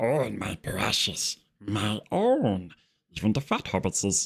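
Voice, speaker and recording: Someone uses a put-on character voice and talks at a fairly slow pace. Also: man, fairly low pitch for a man. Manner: wheedling, obsessive.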